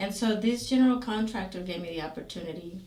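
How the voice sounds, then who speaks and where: In a Spanish accent, a woman speaks at medium pitch and a fairly quick pace with ordinary pitch variation, with audible room echo and noticeable background noise. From Guatemala. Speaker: safety consultant. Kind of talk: interview. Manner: hesitant, many fillers.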